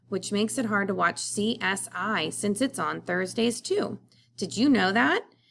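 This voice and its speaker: Putting on a character voice, a woman speaks raspy at a medium pitch and a moderate pace. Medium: read story. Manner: cheerful, rambling.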